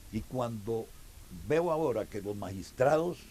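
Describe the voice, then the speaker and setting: Somewhat breathy and dark, mellow in tone, a man speaks at a fairly slow pace. His intonation is lively. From Costa Rica, Alajuela. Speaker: club president. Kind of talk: interview. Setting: outdoors at a small farm.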